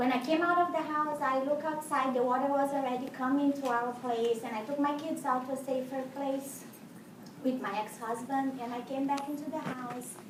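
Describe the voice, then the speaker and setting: The intonation is fairly even, with audible room echo and noticeable background noise. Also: woman, high pitch for a woman, moderate pace. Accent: Portuguese. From Brazil. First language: Portuguese. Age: 40s. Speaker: house cleaner sharing transformation story. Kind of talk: testimony.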